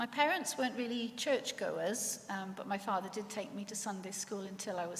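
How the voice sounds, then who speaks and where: A woman with a Welsh accent is heard with audible room echo. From Wales, Swansea Valley. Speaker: lecturer sharing faith testimony. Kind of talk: testimony.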